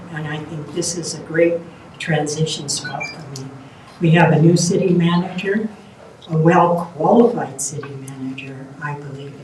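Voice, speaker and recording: A woman speaks with a very deep, low pitch. Noticeable background noise and audible room echo come through as well. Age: 70s. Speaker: mayoral candidate. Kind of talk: candidate forum answers. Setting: live-streamed candidate forum.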